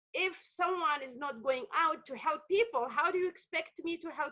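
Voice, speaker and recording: A woman speaks at an extremely high pitch in a raised, projected voice with a bright, sharp tone. Her pace is moderate, with very wide pitch swings. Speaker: community worker. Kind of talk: panel discussion. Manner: loud.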